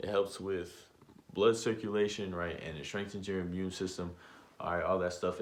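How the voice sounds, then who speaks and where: A man speaks with a very deep, low pitch at a fairly quick pace. There is audible room echo. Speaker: vlogger giving self-improvement tips. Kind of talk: casual vlog monologue. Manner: fast.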